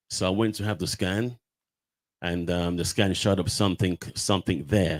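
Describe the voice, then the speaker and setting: A man speaks at a moderate pace in a very deep, low pitch, keeping his intonation fairly even. The recording is very clean with a silent background, and the sound is dry and close, with no echo. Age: 60s. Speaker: prostate cancer survivor and awareness campaigner. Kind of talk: testimony. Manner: halting, many fillers and repetitions.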